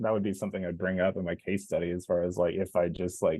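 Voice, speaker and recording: With an American accent, a man talks at a fairly quick pace using lively intonation. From Kansas, US. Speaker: content designer, former sports writer. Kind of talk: online Q&A panel. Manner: casual, many filler words.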